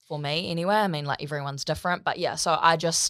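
Spoken very fast with a New Zealand accent, the recording is very clean with a silent background. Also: woman. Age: 20s. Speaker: body positivity advocate. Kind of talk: casual interview chat.

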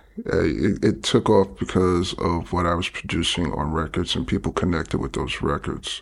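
A man speaks with a New York accent at a moderate pace. His voice carries vocal fry. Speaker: DJ and producer. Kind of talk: casual interview.

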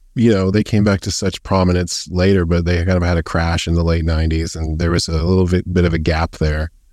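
A man with a Canadian accent, very deep and low in pitch, monotone and flat, at a very fast pace on a very clean recording with a silent background. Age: 40s. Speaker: graphic novelist. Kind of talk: casual interview chat. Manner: halting, many fillers.

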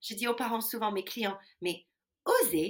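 Here a woman speaks with an English accent. Her pitch is fairly high. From US Midwest. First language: English (speaking French). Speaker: ethical leadership consultant. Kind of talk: interview.

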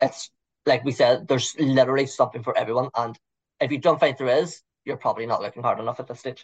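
A man with a Liverpool accent talks at a very fast pace. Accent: Scouse. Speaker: local city guide guest. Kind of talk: interview.

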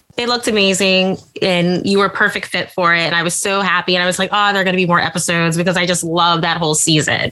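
Talking very fast with hardly any pauses, a woman keeps a fairly low, monotone pitch with flat intonation and very even loudness. Noticeable background noise runs underneath. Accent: American. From US Midwest, Indiana. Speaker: podcast host. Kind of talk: casual interview.

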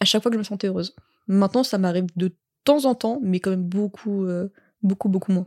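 Speaking at a fairly quick pace yet with long, frequent pauses, a woman uses a medium pitch and ordinary pitch variation in a very clean recording with a silent background and a dry, close sound with no echo. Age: 20s. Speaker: tattoo artist and barista. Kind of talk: casual chat. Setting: recording in a bed with two mics.

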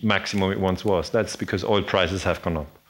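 A man speaks with a German accent. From Switzerland. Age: 40s. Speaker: historian. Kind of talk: lecture. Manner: halting.

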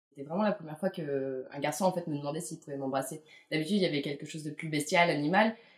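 A woman with a very deep, low pitch speaks at a very fast pace with ordinary pitch variation. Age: late 20s. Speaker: freelance visual producer. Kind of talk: casual interview. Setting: at home. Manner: hesitant, many fillers.

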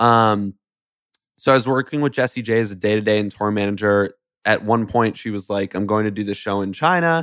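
Here is a man with a plain, everyday voice, pitched fairly low. He speaks at a fairly quick pace on a very clean recording with a silent background. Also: ordinary pitch variation. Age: 20s. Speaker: music business entrepreneur. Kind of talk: interview conversation.

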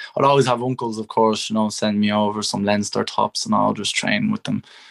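Dry and close with no echo, a man with a strong Irish accent talks at a fairly quick pace. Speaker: young rugby player. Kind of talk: casual interview.

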